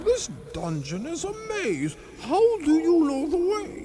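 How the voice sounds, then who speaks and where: Clear background noise sits behind a put-on character voice pitched extremely high and delivered at a fairly slow pace. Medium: audio drama. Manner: scornful, mocking.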